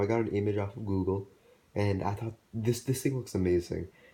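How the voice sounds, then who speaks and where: A man's fairly low, somewhat breathy voice with a dark, mellow tone, ordinary pitch variation and a fairly quick pace. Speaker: hobby artist YouTuber. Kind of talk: casual show-and-tell. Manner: halting, with fillers.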